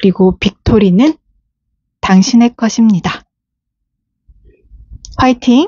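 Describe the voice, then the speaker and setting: A somewhat breathy woman at a very slow pace, with long, frequent pauses and ordinary pitch variation. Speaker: tarot reader. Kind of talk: tarot reading to camera.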